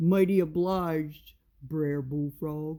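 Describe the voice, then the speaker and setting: A woman's put-on character voice, very deep and low, at a very slow pace. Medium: read story. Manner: slow, simple.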